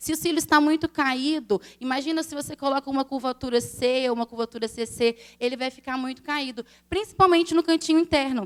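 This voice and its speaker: A woman speaks with a high pitch and ordinary pitch variation. The sound is dry and close, with no echo. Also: fairly quick pace. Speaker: eyelash extension instructor. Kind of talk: live lecture to an audience.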